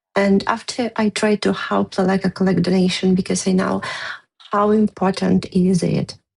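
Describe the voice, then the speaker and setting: This woman speaks with a non-native accent. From Ukraine. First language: Ukrainian. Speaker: war veteran. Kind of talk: testimony. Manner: halting.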